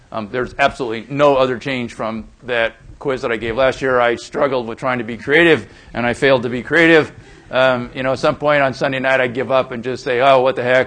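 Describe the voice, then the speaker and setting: A man's intonation is monotone and flat as he talks at a fairly quick pace. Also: medium pitch for a man. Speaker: university lecturer. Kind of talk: lecture. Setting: lecture hall with audience. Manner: soft-spoken.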